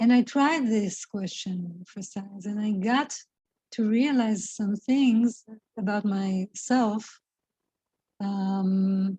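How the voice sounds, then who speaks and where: Very slowly, a woman speaks in a somewhat breathy, dark, mellow voice at a medium pitch with ordinary pitch variation. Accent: non-native. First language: not English. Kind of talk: spiritual reflection talk to camera. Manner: slow, hesitant, thoughtful.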